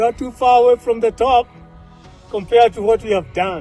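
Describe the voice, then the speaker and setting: Music plays in the background. Over it, a man talks at an extremely high pitch. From Kenya. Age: 60s. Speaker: mountaineer and mountaineering instructor. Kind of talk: on-mountain video commentary. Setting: outdoors.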